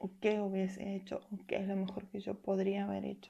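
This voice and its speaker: Her tone is dark and mellow, somewhat breathy, at a medium pitch. The woman keeps a moderate pace. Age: 20s. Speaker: podcaster. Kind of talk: casual monologue.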